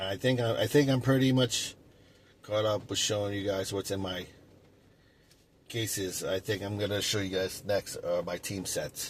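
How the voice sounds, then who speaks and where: The voice is somewhat breathy, with fairly even intonation. It moves at a moderate pace with long, frequent pauses. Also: man, fairly low pitch for a man. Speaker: sports card collector YouTuber. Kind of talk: casual monologue. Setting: in a car. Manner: halting, many fillers.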